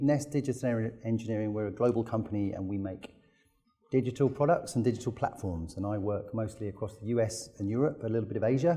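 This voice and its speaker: Somewhat breathy and dark, mellow in tone, a man with a British accent speaks at a medium pitch and a fairly quick pace with ordinary pitch variation. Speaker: technology company executive. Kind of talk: conference talk. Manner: halting.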